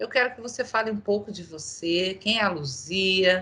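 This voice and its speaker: The woman's tone is bright and sharp. Her pitch sits at a medium level. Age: 50s. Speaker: company diversity group host. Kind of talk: interview.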